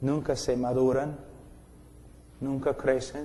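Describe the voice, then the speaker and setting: A man with an English accent speaks at a very slow pace and a medium pitch, his tone dark, mellow and intense. His intonation is monotone and flat, with audible room echo around him. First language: English (speaking Spanish). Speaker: preacher. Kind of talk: sermon.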